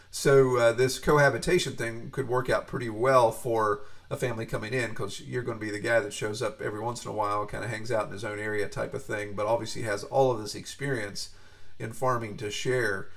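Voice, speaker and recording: A man's ordinary speaking voice at a medium pitch, fairly quick in pace and fairly even in intonation. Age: 40s. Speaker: podcast host and pig farmer. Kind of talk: interview. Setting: home office.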